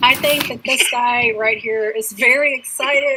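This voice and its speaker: A woman's raised, projected voice, high in pitch, at a fairly slow pace over noticeable background noise. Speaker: reseller, channel co-host. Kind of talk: casual chat.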